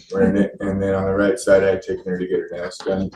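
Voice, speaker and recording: A soft-spoken man talks with an American accent. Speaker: father in custody case. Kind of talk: witness testimony.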